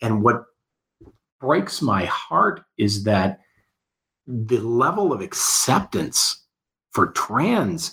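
A man speaks with vocal fry. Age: 40s. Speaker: radio station owner. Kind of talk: casual chat. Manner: animated.

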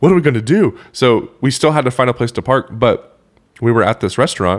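With an American accent, a man has an unremarkable speaking voice, medium pitch, lively intonation and a moderate pace. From Oklahoma. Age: 20s. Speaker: loan officer and musician. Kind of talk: casual chat.

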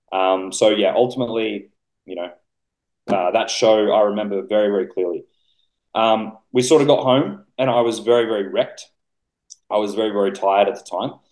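A man's fairly low voice with an Australian accent, fairly quick in pace yet broken by long, frequent pauses, with ordinary pitch variation. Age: 20s. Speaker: bodybuilding coach. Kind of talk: casual chat.

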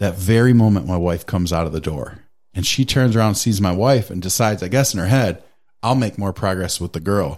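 A man with a plain, everyday voice speaks at a fairly quick pace, his pitch fairly low and his intonation moving in an ordinary way, on a very clean recording with a silent background. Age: 30s. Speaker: podcast guest. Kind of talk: casual chat.

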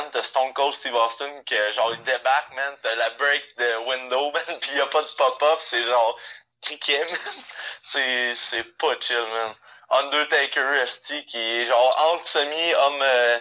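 Very slowly and with fairly even intonation, a man speaks in a fairly high, bright, sharp voice. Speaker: sports podcast co-host. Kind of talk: casual chat.

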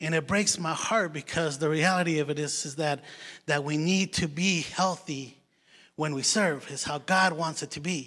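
A man with a non-native accent talks at a moderate pace in a fairly high pitch with fairly even intonation. His tone is bright and sharp, in a very clean recording with a silent background. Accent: foreign. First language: not English. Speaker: lay preacher. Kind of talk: sermon. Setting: church.

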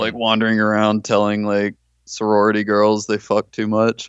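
This is a man with a fairly low pitch. He talks at a moderate pace. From Mississippi. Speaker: podcast guest. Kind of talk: casual chat.

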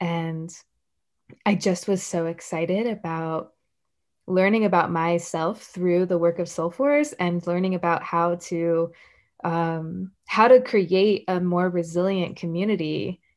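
Against a quiet background, a woman with an ordinary speaking voice talks at a fairly slow pace, her pitch fairly low with ordinary variation. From US South, Puerto Rican and Dominican family. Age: 20s. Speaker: activist and organization director. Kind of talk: casual interview.

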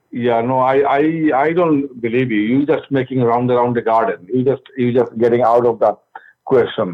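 An ordinary speaking voice moves at a moderate pace with fairly even intonation. Its loudness stays very even throughout. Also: man, medium pitch for a man. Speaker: rideshare driver. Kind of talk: phone complaint. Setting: phone call.

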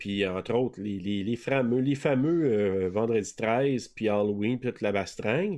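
Against a quiet background, a man speaks in a normal speaking voice at a fairly slow pace. His pitch is medium, with ordinary pitch variation. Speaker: podcast co-host guest. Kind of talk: casual chat.

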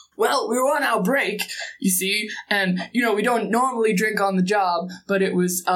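A woman uses a gruff, put-on character voice at a moderate pace. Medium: actual play. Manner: folksy, rambling.

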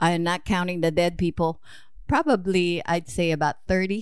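Speaking in a Filipino accent at a fairly low pitch, a woman keeps a moderate pace with long, frequent pauses, fairly even intonation and very even loudness over a quiet background. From Philippines. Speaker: mother of the host, immigrant. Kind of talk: interview.

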